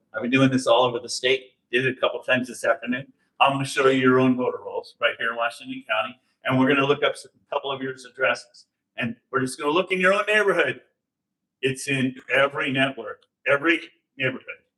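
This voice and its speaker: Very fast and loud, the voice carries a bright, sharp tone. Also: man, medium pitch for a man, ordinary pitch variation. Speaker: election integrity speaker. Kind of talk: public talk with slides. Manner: animated.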